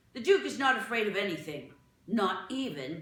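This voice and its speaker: This is a growling, put-on character voice at a moderate pace. A slight echo can be heard. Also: woman, medium pitch for a woman. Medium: read story. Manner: gruff, jittery.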